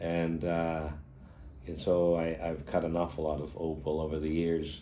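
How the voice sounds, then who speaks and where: Moderate pace with audible room echo. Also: man. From Australia. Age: 70s. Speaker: opal miner and dealer. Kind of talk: interview. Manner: halting.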